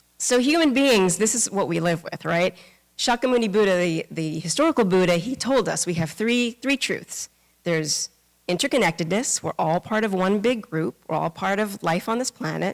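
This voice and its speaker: The sound is dry and close, with no echo. A woman speaks at a medium pitch with lively intonation. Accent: American. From New York. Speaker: Buddhist minister. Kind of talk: dharma talk. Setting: temple service with congregation. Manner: fast; casual, many fillers.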